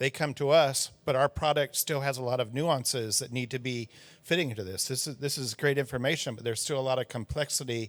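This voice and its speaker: The delivery runs at a fairly quick pace. It is an unremarkable speaking voice, with ordinary pitch variation. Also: man, very clean recording, silent background. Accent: American. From United States. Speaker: audience member, traffic industry professional. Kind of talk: audience question.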